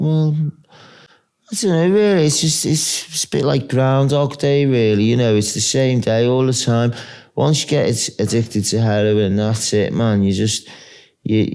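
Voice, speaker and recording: With a Merseyside accent, this voice has a dark, mellow tone and lively intonation, keeping a moderate pace and very even loudness. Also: man, medium pitch for a man. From Wirral, North West England. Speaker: homeless heroin addict. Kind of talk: interview answer. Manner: hesitant.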